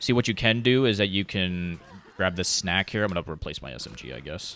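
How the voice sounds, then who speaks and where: Speaking at a fairly quick pace, a man has a very deep, low pitch with vocal fry and a bright, sharp tone. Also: lively intonation. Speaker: speedrun tutorial gamer. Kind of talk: tutorial; casual commentary over gameplay. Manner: halting.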